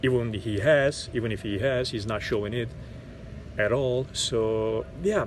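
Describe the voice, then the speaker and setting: A man with a Turkish accent speaks at a fairly slow pace in a medium pitch, somewhat breathy, with fairly even intonation. Audible room echo surrounds his voice. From Turkey. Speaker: actor. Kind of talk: interview monologue. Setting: outdoors in a park. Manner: halting, many repetitions and fillers.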